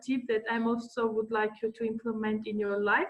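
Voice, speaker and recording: Fairly high-pitched woman's voice over noticeable background noise. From Armenia. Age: 20s. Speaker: guest speaker. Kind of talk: talk to online audience. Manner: halting.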